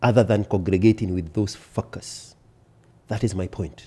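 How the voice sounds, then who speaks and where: In a Kenyan accent, a man speaks at a moderate pace. His tone is dark and mellow, and somewhat breathy. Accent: Kenyan accent, kept. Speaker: podcast guest. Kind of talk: casual chat. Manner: emphatic.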